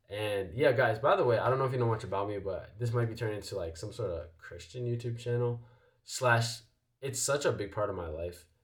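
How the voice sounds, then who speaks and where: A man's somewhat breathy voice at a fairly quick pace, with ordinary pitch variation, on a very clean recording with a silent background. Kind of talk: casual motivational vlog talk. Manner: casual with many fillers.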